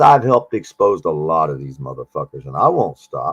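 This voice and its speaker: At a fairly quick pace, a man speaks in a dry, close sound with no echo. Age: 60s. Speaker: livestreamer and air conditioning worker. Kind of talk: casual livestream chat. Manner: animated.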